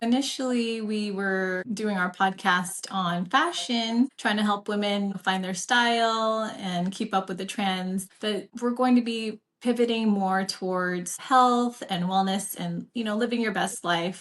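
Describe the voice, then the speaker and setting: A woman with a normal speaking voice talks at a fairly slow pace in a medium pitch, her intonation fairly even and hardly any pauses between words. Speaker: registered nurse. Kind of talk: casual podcast conversation.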